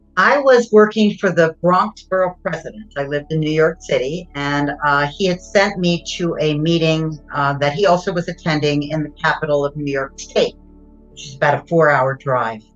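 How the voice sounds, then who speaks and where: A woman speaks at a moderate pace with a very deep, low pitch and ordinary pitch variation. Her loudness swings widely, and music plays in the background. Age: 60s. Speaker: near-death experience survivor. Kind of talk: testimony. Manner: conversational with fillers.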